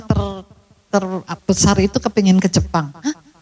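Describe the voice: A woman's voice with a slightly mellow tone.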